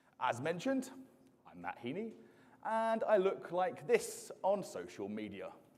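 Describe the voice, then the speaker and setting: A man with an English accent speaks in an animated tone, with big swings in loudness. He takes long, frequent pauses amid audible room echo. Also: fairly slow pace. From southeast England, Isle of Sheppey. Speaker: software engineering manager and conference speaker. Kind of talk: conference talk. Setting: stage with audience.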